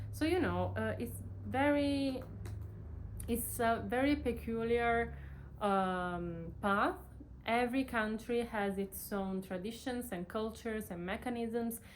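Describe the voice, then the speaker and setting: Speaking very slowly with an Italian accent, a woman is heard with audible room echo. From Italy. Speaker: PhD student, vlogger. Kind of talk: casual vlog talk to camera. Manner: halting, many fillers.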